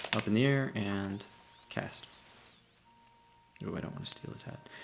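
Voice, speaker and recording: Quiet speech at a moderate pace, set against noticeable background noise. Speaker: gaming tutorial host. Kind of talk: game tutorial commentary. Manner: quiet, low-energy.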